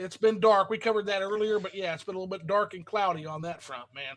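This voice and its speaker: A man speaks in a raised, projected voice with high pitch. His pitch varies in an ordinary way. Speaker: gaming livestream host. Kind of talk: casual livestream chat reading viewer comments. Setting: live stream.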